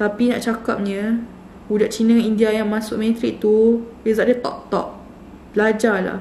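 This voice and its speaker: A woman speaks at a fairly high pitch in a flat monotone. Audible room echo and light background noise surround her voice. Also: fairly slow pace. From Malaysia. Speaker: YouTuber sharing student experience. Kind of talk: casual vlog talk. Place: home room. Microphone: phone near.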